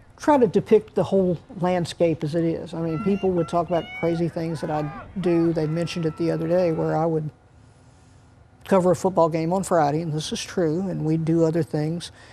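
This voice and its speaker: A woman with an American accent, fairly quick and fairly even in intonation, over noticeable background noise. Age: 60s. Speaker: retiring high school sports writer. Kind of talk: interview. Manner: halting, many fillers and restarts.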